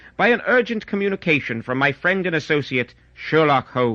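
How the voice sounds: Here a man speaks at a moderate pace with big swings in pitch. His tone is bright and sharp.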